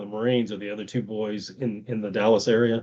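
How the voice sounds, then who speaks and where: Speaking with a Tennessee accent, a man talks at a fairly quick pace in a medium-pitched voice with fairly even intonation. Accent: Tennessee twang. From US South, Virginia. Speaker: podcast host. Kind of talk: interview conversation.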